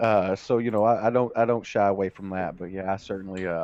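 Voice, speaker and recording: At a very fast pace, this speaker talks with fairly even intonation and a slight Kentucky accent. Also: man. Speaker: streamer. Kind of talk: casual interview chat.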